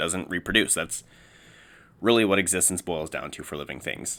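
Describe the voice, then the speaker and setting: Over a silent background in a very clean recording, a man speaks with a very deep, low pitch. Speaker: youtuber. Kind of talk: opinion monologue. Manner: slurring words; halting.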